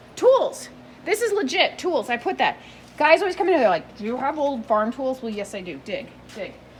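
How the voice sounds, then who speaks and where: A high-pitched woman's voice with very wide pitch swings, a fairly quick pace and noticeable background noise. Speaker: antique booth vendor. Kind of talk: video tour of antique booth. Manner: fast; animated.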